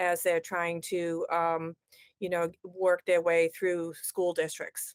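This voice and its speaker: A woman speaks fairly slowly with a strong Boston accent, fairly low pitch and monotone, flat intonation. The recording is very clean with a silent background and a dry, close sound with no echo. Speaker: education technology consultant. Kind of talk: podcast interview. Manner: halting, many fillers.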